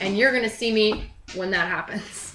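A woman's raised, projected voice at a very fast pace, with audible room echo and light background noise. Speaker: home cooking show host. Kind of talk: tutorial. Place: kitchen. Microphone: camera far.

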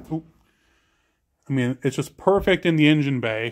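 Quiet background and a man's voice. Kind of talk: casual vlog commentary. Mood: enthusiastic. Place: garage. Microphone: phone near.

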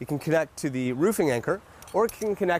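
With very wide pitch swings, a man talks at a fairly quick pace in dry sound with no echo and light background noise. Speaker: safety equipment instructor. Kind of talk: tutorial. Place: garden.

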